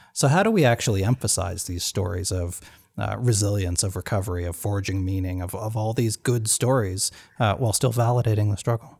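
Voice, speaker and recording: A man's somewhat breathy voice at a fairly quick pace, with ordinary pitch variation, in a very clean recording with a silent background. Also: fairly low pitch for a man. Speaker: podcast host. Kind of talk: casual interview; scripted outro. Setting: guest's home. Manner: halting, many fillers.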